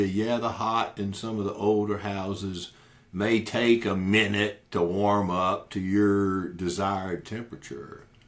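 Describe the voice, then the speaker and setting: A man's fairly low voice with an American accent, at a fairly slow pace with ordinary pitch variation and hardly any pauses. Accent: Cajun Louisiana Southern US. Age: 60s. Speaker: podcast host, lawyer/counselor. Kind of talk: casual monologue podcast. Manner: conversational with filler words and repetitions.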